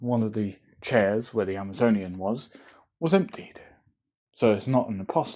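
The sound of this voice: Ordinary pitch variation in an unforced reading voice, set against a quiet background.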